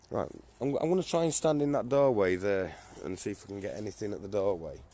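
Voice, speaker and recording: The speaker has a northern English accent and a fairly quick pace. Their pitch swings very widely. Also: man. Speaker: paranormal investigator. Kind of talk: live stream ghost hunt narration.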